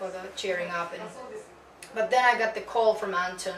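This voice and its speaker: A woman's fairly even intonation amid noticeable background noise and audible room echo. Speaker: metal vocalist. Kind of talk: interview. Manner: halting.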